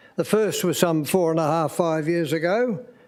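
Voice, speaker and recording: Audible room echo surrounds a man speaking at a high pitch with an Australian accent. He keeps a moderate pace. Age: 90s. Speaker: member of the public addressing council. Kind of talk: public statement at council meeting. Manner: halting.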